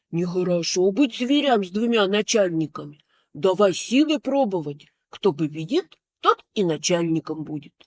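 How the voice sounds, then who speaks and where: A woman's put-on character voice at a moderate pace, on a very clean recording with a silent background. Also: medium pitch for a woman. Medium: read story. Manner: boastful yet easily scared.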